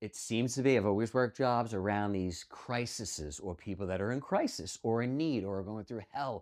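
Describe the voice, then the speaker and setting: In a New York accent, a man speaks at a moderate pace with hardly any pauses. His pitch is medium with ordinary variation, and the background is quiet. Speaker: psychic medium, former firefighter. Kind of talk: casual interview chat.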